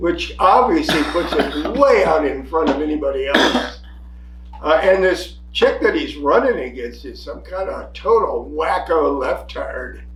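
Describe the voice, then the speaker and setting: A man with an American accent speaks at a fairly slow pace. Both noticeable background noise and audible room echo are heard. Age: 70s. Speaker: podcast co-host, army veteran. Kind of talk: casual political chat. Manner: animated.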